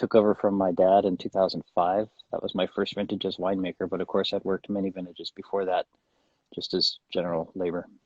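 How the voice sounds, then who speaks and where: This man talks at a very fast pace with an American accent. His pitch is very deep and low, and his intonation is monotone and flat. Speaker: winemaker. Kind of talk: casual chat. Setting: Instagram live video stream, outdoors in vineyard.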